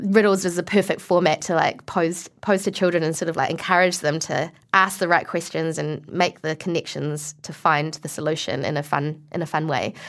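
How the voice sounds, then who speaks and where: This woman talks at a moderate pace. Her accent is a New Zealand one. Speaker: actor. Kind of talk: interview.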